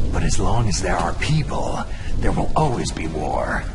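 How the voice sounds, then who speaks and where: A man speaks at a moderate pace in a put-on character voice. Loud background noise runs underneath. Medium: machinima. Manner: terse, clipped.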